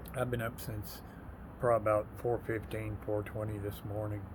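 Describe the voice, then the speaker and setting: In an American accent, someone talks at a fairly slow pace. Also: man. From Texas. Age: 60s. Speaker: military veteran. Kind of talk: casual vlog monologue.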